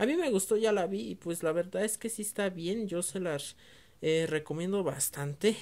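Speaking fairly slowly, a woman uses ordinary pitch variation. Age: 20s. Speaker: VHS collector YouTuber. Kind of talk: casual video review. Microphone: phone near.

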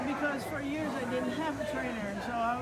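A woman talks at a moderate speed while loud noise fills the background. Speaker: interviewee. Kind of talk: interview answer. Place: gym. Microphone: phone near.

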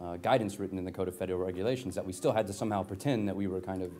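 Light background noise sits behind a man whose voice is fairly low in pitch with a dark, mellow tone. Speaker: speaker. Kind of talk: conference talk. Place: hall. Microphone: lapel.

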